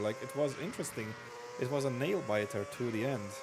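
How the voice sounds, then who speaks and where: A man speaks with a non-native accent. Noticeable background noise and audible room echo are present. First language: not English. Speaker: race commentator. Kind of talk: live commentary. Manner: animated; halting.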